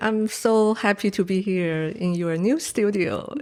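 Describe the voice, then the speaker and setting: A woman speaks at a very slow pace in a Chinese accent. Her pitch is medium, with ordinary variation. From Taiwan. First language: Mandarin Chinese. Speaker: painter. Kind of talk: interview. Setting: studio. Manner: hesitant, many fillers.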